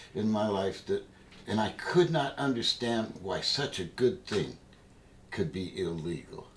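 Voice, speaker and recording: A man's pitch swings very widely. He speaks at a very slow pace. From New England. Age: 70s. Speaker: hemp activist. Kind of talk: interview.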